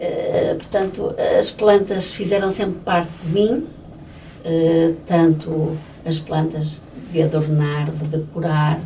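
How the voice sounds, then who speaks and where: In a room with audible echo and noticeable background noise, a woman speaks very slowly at a fairly low pitch with fairly even intonation. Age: 60s. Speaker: florist. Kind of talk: interview. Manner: hesitant, with many fillers.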